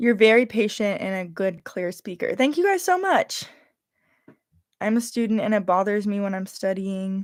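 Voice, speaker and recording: With a slight Californian accent, a woman speaks at a moderate pace in a medium pitch, her pitch variation ordinary. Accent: Californian, slight Valley Girl. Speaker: YouTuber livestreaming. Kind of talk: casual livestream chat.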